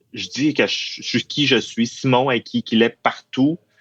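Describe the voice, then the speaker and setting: A man with a Saguenay–Lac-Saint-Jean accent. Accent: Saguenay-Lac-Saint-Jean Quebec French. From Quebec, Saguenay-Lac-Saint-Jean. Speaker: university employee. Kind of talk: interview testimony. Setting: studio.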